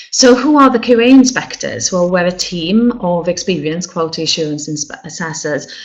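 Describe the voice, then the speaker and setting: Very wide pitch swings at a moderate pace, in a Welsh accent. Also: woman. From Wales. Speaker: funeral director and quality inspector. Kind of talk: webinar presentation. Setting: online webinar. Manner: hesitant, many fillers.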